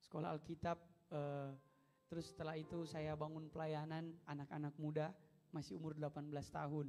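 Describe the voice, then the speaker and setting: Speaking at a fairly quick pace, a man with a fairly high pitch and a dark, mellow tone keeps his loudness very even and his intonation monotone and flat. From Manado, North Sulawesi, Indonesia. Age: 20s. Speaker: pastor. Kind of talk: sermon. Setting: church.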